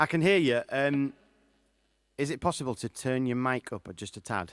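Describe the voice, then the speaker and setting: Speaking at a moderate pace with a Yorkshire accent, a man uses lively intonation in a dry, close sound with no echo. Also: medium pitch for a man, very clean recording, silent background. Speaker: singer-songwriter hosting a live show. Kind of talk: casual live-stream chat. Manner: loud.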